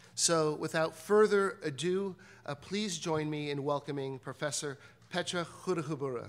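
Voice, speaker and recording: Speaking at a moderate pace with ordinary pitch variation, a man has a fairly high pitch and a plain, everyday voice. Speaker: institute director. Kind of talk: formal introduction. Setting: stage with audience.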